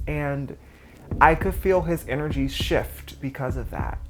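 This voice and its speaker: At a fairly slow pace, the speech comes with music in the background and audible room echo. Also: woman. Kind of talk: personal testimony. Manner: natural unaltered voice.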